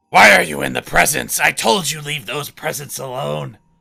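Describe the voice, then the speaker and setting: In a put-on character voice, a man talks at a moderate pace, booming and raspy at a medium pitch. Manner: scolding, commanding.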